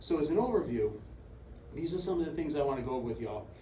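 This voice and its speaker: A man's voice with audible room echo. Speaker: sheriff. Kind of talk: lecture. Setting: stage with audience. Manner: soft-spoken.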